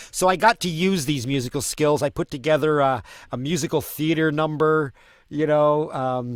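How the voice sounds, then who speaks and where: The voice moves at a moderate pace. The recording is very clean, with a silent background. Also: man, fairly high pitch for a man, ordinary pitch variation. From Canada. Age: 50s. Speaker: street performer and musician. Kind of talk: casual chat. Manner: halting, many repeated words.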